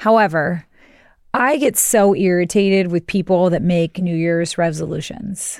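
A woman speaks with a plain, everyday voice, fairly low in pitch, with ordinary pitch variation at a fairly slow pace. The recording is very clean, with a silent background. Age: 40s. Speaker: podcast co-host. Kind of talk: casual chat.

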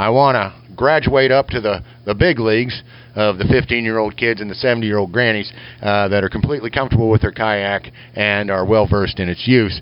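At a fairly quick pace, a man with an American accent talks in a fairly low pitch with an ordinary speaking voice. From Kansas. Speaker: lure maker and show correspondent. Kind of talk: recorded voice message. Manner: folksy, jokey.

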